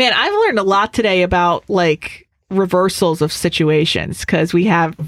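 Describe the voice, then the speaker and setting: A normal speaking voice moves at a moderate pace with fairly even intonation on a very clean recording with a silent background. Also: woman. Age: 30s. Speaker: radio host and dating expert. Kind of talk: casual chat. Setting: studio.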